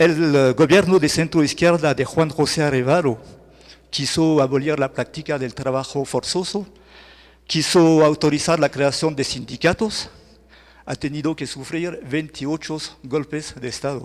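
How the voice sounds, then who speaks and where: Speaking with a French accent, a man uses a fairly high pitch, a fairly slow pace and fairly even intonation. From France. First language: French (speaking Spanish). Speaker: journalist and lecturer. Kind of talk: lecture. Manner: halting, self-correcting.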